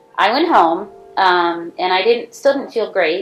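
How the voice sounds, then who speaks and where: Noticeable background noise fills the clip. A woman talks through it at a moderate speed. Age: 60s. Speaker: stroke survivor. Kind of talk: personal testimony.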